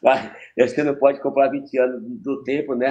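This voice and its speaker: Here is a man speaking. His tone is dark and mellow. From Maranhão, Brazil. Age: 70s. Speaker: capoeira master. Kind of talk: podcast interview. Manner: halting.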